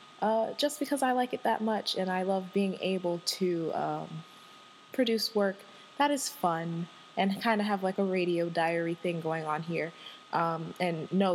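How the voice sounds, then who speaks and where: An animated woman at medium pitch and a moderate pace, with ordinary pitch variation. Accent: slight Southern US. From Washington, D.C. area. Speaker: podcast host. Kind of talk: casual solo monologue. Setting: home recording. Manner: animated, laughing often.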